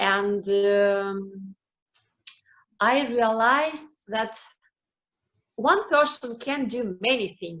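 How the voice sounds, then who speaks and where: Speaking very slowly with long, frequent pauses, a woman with a non-native accent uses a fairly high pitch and lively intonation. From Ukraine (Kyiv, later Crimea). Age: 40s. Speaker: Rotary club president. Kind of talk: presentation. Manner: halting, many fillers.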